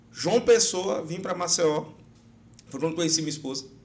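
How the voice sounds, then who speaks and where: Audible room echo surrounds the voice. A man speaks at a high pitch. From Brazilian Northeast. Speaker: election lawyer and law professor. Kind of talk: podcast interview.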